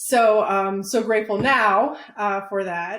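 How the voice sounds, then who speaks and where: On a very clean recording with a silent background, a woman with a Chicago accent speaks at a medium pitch. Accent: Chicago American English. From Chicago, Pilsen neighborhood, Mexican family. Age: 30s. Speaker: business owner. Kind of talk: interview.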